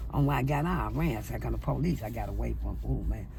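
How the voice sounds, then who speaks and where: A woman speaks at a fairly quick pace. Audible room echo colors the recording. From St. Louis, Missouri. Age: 60s. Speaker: interviewee, former street hustler. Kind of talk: street interview, personal testimony.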